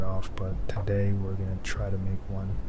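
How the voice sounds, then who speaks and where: A soft-spoken man talks in a fairly low pitch with monotone, flat intonation. There is noticeable background noise. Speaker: ASMR creator. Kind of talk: casual talk to camera, first ASMR attempt. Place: home room.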